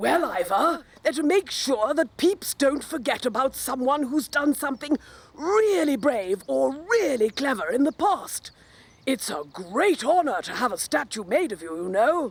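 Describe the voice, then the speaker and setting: A woman's cartoonish character voice, high in pitch with very wide pitch swings, at a moderate pace. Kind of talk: mock news report. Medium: puppet.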